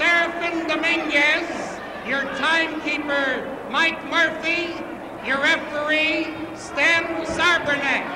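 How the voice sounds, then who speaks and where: A man talks at a very slow pace in an extremely high pitch, with noticeable background noise behind him. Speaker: ring announcer. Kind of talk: formal ring announcement, stiff and ceremonial. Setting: wrestling arena, live event. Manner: formal, measured, crisp and declamatory. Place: stadium. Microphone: handheld.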